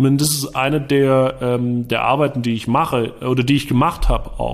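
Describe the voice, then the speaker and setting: At a medium pitch and moderate pace, the man talks in an unremarkable speaking voice. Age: 20s. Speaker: entrepreneur and marketing consultant. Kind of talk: interview. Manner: casual, many filler sounds.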